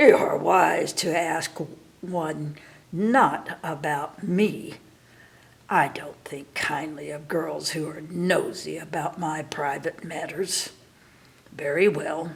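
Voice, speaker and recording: A woman speaks very slowly in a raspy, fairly low-pitched voice. She is doing a put-on character voice. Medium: read story. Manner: imperious, threatening.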